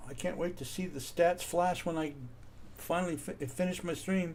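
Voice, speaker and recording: Audible room echo surrounds the voice. A man speaks with a high pitch. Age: 60s. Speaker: video game streamer. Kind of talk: live gameplay commentary. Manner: casual, chatty.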